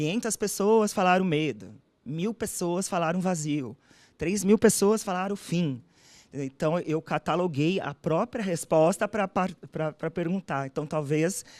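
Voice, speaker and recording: A woman with a normal speaking voice talks at a fairly slow pace and fairly low pitch, with ordinary pitch variation, in a dry, close sound with no echo on a very clean recording with a silent background. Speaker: doctoral candidate. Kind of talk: thesis defense answering examiner.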